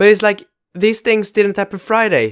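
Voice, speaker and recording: A man with a Swedish accent in a dry, close sound with no echo. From Sweden. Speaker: YouTuber. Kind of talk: vlog commentary. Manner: fast; halting.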